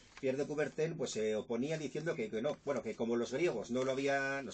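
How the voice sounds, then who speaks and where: Speaking very fast, a man uses a medium pitch. The pitch moves with ordinary variation. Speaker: journalist and author. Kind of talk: radio interview answer.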